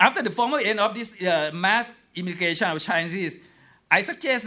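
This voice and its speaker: A raised, projected voice with a bright, sharp tone and lively intonation comes through in a Thai accent. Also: man. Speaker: historian. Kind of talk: lecture.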